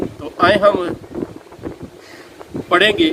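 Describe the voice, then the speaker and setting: Over noticeable background noise, a man raises and projects his high-pitched voice with lively intonation. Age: 70s. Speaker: pastor. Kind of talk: sermon.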